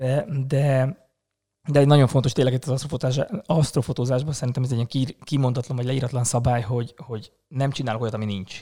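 A man's somewhat breathy, dark and mellow voice at a very fast pace, with fairly even intonation. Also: medium pitch for a man. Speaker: astrophotographer and hospitality worker. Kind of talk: casual chat.

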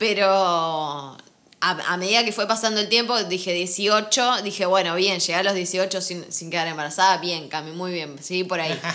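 With an audible room echo, a woman talks at a medium pitch. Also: ordinary pitch variation, moderate pace. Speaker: podcast co-host. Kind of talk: casual chat.

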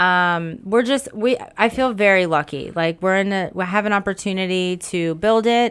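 With an American accent, a woman speaks in a normal speaking voice at a moderate pace and medium pitch, with ordinary pitch variation and hardly any pauses, in a very clean recording with a silent background. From South Florida. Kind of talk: casual interview chat.

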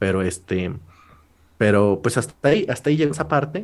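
This man has an unremarkable speaking voice, fairly low in pitch, at a moderate pace. The recording is very clean with a silent background. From Mexico, rural Puebla state. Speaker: law student and comedy YouTuber. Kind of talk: casual chat.

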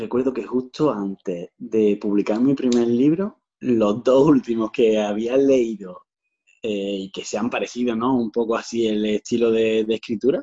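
At a fairly slow pace and medium pitch, a man talks with fairly even intonation in a dry, close sound with no echo. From Andalusia, Granada. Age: 30s. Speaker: author. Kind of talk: interview. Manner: halting, many repetitions.

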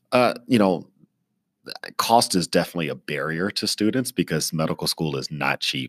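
Very deep, low male voice with vocal fry, lively intonation, a moderate pace and a dry, close sound with no echo. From East Texas (military family, moved around). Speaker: emergency physician and professor. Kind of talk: interview. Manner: frequent fillers (uh, um).

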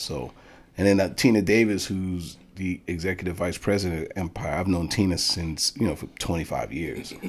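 A man speaks at a moderate pace with a New York accent. His very deep, low pitch shows ordinary variation on a very clean recording with a silent background. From Bronx, New York. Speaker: music manager. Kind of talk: casual chat.

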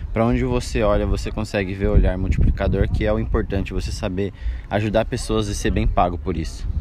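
A man speaks very fast in a very deep, low voice with very wide pitch swings, heard with audible room echo and noticeable background noise. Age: 20s. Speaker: podcast guest. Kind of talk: casual chat. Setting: outdoors.

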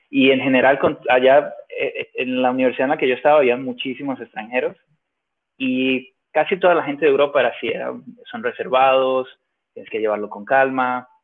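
Speaking with a Venezuelan accent, a man moves along at a moderate pace. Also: big swings in loudness. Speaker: emigrant entrepreneur. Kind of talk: casual interview.

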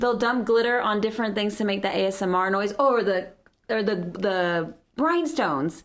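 The speaker has a normal speaking voice with lively intonation. Loudness stays very even at a moderate pace. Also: woman, medium pitch for a woman. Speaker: craft maker. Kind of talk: casual chat. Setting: studio.

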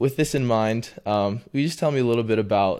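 In a very clean recording with a silent background, a man with an American accent and a plain, everyday voice speaks fairly quickly at a fairly low pitch with ordinary pitch variation. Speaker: podcast host. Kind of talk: casual interview.

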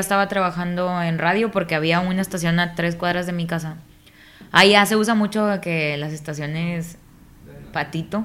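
A woman in a northern Mexican accent speaks at a moderate pace with medium pitch and fairly even intonation. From Mexico, Nuevo Laredo, Tamaulipas. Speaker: voice-over artist and radio announcer. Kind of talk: casual interview chat.

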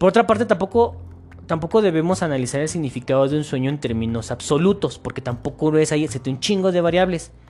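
The pace is very fast. The intonation is lively. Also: man, fairly high pitch for a man. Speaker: podcast host. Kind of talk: casual monologue.

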